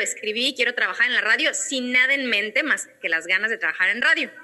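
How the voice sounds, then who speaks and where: A woman's high-pitched voice with ordinary pitch variation, at a fairly quick pace, over noticeable background noise. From Mexico, Guadalajara. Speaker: radio and TV presenter. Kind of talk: interview conversation.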